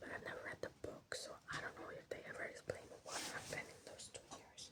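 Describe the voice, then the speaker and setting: Someone whispers at a fairly quick pace. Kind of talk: ASMR rant, whispered ramble about a TV series. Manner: whispered.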